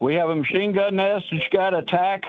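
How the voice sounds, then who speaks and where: This man speaks with an American accent. His voice sits high in pitch. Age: 70s. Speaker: caller. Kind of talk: casual chat.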